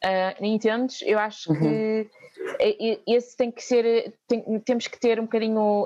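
A woman with a fairly high-pitched voice. Her tone is dark and mellow, at a moderate pace. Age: 30s. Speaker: volunteering nonprofit coordinator. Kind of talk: interview. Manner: halting.

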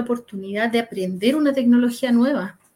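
A woman with a normal speaking voice talks at a fairly quick pace and a fairly high pitch. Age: 50s. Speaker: project manager. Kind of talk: casual chat.

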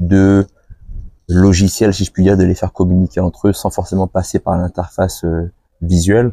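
A man's very deep, low voice in a dark, mellow tone, monotone and flat, at a fairly quick pace, with a dry, close sound and no echo. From island (French overseas). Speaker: podcast host. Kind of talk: interview conversation.

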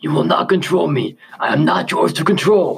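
Using a put-on character voice, a man speaks raspily at a moderate pace. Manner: defiant, shouting.

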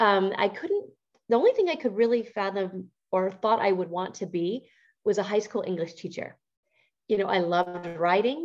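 Here is a plain, everyday voice with an American accent, moving at a moderate pace with ordinary pitch variation. The background is quiet. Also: woman, medium pitch for a woman. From Montana, US. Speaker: entrepreneur. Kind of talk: interview.

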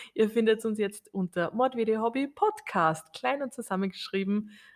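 With a normal speaking voice, a woman talks at a moderate pace and ordinary pitch variation. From Austria. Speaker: podcast co-host. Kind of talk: casual chat.

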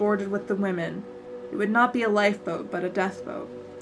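Ordinary pitch variation in plain reading aloud.

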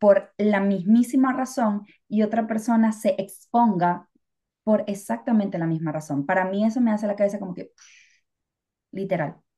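Somewhat breathy and with a dark, mellow tone, a woman speaks at a moderate pace with ordinary pitch variation. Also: medium pitch for a woman. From Venezuela. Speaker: podcast co-host. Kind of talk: casual chat. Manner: talkative.

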